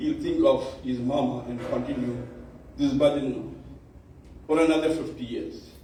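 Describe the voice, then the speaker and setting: Audible room echo surrounds a man speaking at a moderate pace. He takes long, frequent pauses. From South Africa, Durban area (Indian community). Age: 70s. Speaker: bhajan society elder. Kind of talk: speech at awards function.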